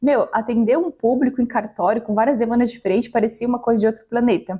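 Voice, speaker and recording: Fairly high-pitched and somewhat breathy, a woman talks at a very fast pace. Her intonation stays fairly even. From Maranhão, Brazil. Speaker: customer success professional, talk host. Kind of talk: panel talk.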